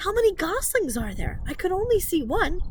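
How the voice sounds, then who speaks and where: A woman performs a put-on character voice over clear background noise. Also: moderate pace. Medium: read story.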